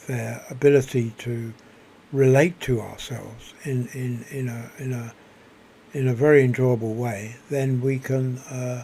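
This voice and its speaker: A soft-spoken man with a medium-pitched voice talks at a fairly slow pace in a flat monotone. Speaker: video blogger. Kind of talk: spoken reflection monologue. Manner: halting, many repetitions.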